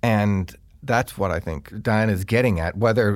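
Vocal fry in an American accent, on a very clean recording with a silent background. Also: man. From rural eastern North Carolina. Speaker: composer and music professor. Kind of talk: interview conversation.

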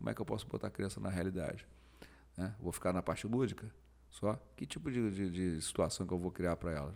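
A man's very deep, low voice with vocal fry and lively intonation, very fast in pace yet broken by long, frequent pauses. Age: 50s. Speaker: jiu-jitsu master and motivational speaker. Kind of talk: casual chat.

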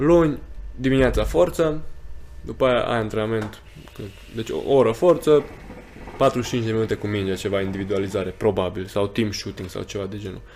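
A man at a moderate pace with long, frequent pauses, medium pitch, lively intonation and big swings in loudness. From Romania, Sfântul Gheorghe. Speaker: professional basketball player. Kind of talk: casual chat.

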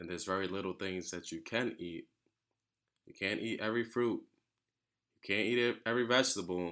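On a very clean recording with a silent background, a man with a fairly low pitch and bright, sharp tone speaks fairly quickly, with ordinary pitch variation, big swings in loudness, and long, frequent pauses. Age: 20s. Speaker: food podcast host. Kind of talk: casual solo monologue. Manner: casual, conversational.

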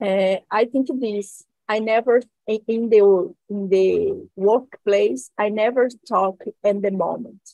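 A woman with a Brazilian accent speaks at a very slow pace and fairly high pitch in a dark, mellow tone. The sound is dry and close with no echo. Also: ordinary pitch variation. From Brazil, Minas Gerais. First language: Portuguese. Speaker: lawyer and journalist. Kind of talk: group English conversation practice. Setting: video call. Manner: halting.

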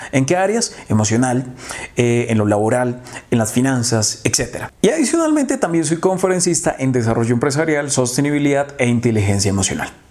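A man's voice at a fairly quick pace and very even loudness, over noticeable background noise. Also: medium pitch for a man, lively intonation. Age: 20s. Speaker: marketing consultant. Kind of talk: tutorial.

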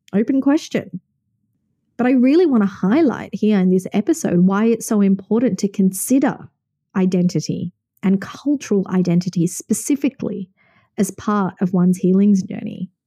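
A woman with an Australian accent speaks in a dark, mellow, somewhat breathy voice with ordinary pitch variation. The sound is dry and close with no echo, on a very clean recording with a silent background. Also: medium pitch for a woman, moderate pace. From Sydney, Australia. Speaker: podcast host and wellness coach. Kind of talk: solo podcast monologue.

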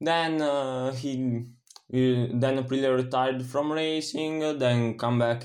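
A man's medium-pitched voice with an Italian accent, fairly slow, in a monotone, flat intonation. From Italy. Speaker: motorsport podcaster. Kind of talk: solo sports commentary podcast. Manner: halting, many fillers.

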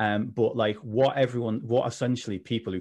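A man speaks in a plain, everyday voice at a fairly low pitch and a moderate pace. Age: 30s. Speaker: mental health coach, former personal trainer. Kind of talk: casual interview chat.

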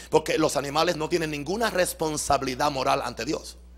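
The voice has vocal fry. The pace is fairly quick. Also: man. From Puerto Rico. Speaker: pastor. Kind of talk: sermon. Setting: church.

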